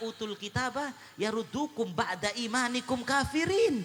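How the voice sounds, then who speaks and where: His voice is raised and projected. The man's intonation is lively. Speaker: Islamic preacher. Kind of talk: sermon. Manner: loud.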